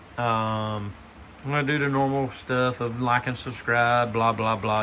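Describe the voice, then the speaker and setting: This man has a medium pitch and an eastern North Carolina accent. His tone is relaxed. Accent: Southern US (eastern North Carolina). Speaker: model railroad hobbyist. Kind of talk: casual video walkthrough. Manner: relaxed, hesitant with fillers.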